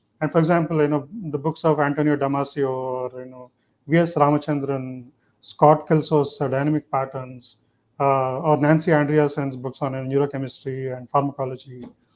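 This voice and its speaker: Speaking with a Telugu accent, a man with a fairly high pitch keeps a monotone, flat intonation while his loudness swings widely. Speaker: neuroscience professor. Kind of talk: panel discussion.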